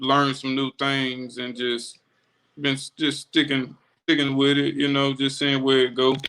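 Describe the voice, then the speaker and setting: A bright, sharp voice with a Florida accent speaks at a moderate pace in a flat monotone. The sound is dry and close, with no echo. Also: man. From Florida panhandle (Milton, near Pensacola). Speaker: rapper. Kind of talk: casual interview. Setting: livestream.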